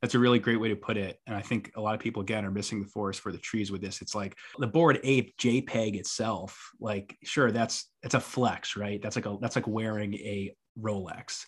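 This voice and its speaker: A man with an American accent has an unremarkable speaking voice. He keeps a moderate pace and fairly even intonation. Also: fairly low pitch for a man, very clean recording, silent background. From New York. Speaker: tech writer. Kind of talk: casual interview chat.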